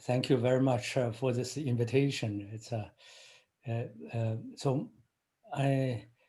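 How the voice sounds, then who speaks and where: The delivery is fairly slow and monotone, with flat intonation and long, frequent pauses. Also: man, medium pitch for a man. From China. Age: 50s. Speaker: engineering professor. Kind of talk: interview. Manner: halting, many fillers.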